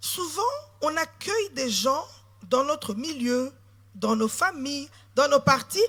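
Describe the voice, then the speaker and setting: A woman's raised, projected voice, high-pitched with a bright, sharp tone, lively intonation and a very slow pace. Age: 40s. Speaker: politician. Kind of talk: sermon.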